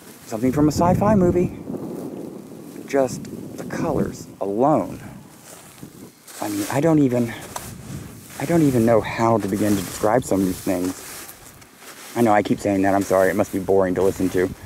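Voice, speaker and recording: Long, frequent pauses break up speech at a moderate pace, recorded dry with no echo over noticeable background noise. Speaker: travel vlogger. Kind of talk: casual vlog commentary. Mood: awed, enthusiastic. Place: open country. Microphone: phone near.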